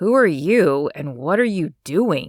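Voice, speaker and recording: Sitting at a middle pitch, this put-on character voice is growling and strained, swinging very widely in pitch at a fairly slow pace. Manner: angry, restrained.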